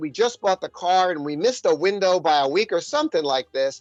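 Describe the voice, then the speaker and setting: A man with a high voice talks at a fairly quick pace with lively intonation, recorded dry and close with no echo, with music playing in the background. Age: 60s. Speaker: commentator on China. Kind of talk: casual chat. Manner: animated.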